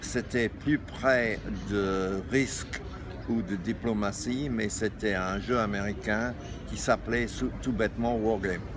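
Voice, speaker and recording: A fairly low-pitched man speaks at a very slow pace amid noticeable background noise. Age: 70s. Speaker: games publisher and shop founder. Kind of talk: interview. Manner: halting, many hesitations.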